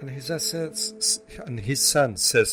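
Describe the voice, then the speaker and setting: Over music in the background, a man with a non-native accent speaks at a very slow pace, his fairly high pitch moving in very wide swings. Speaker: motivational speaker. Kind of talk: inspirational story talk to camera.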